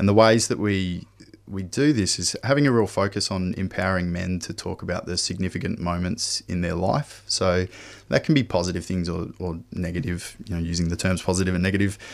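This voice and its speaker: A man's very deep, low voice with an Australian accent, ordinary pitch variation and a fairly quick pace, in a very clean recording with a silent background. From Western Australia, Perth. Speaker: men's health program manager, former nurse. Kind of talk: radio interview.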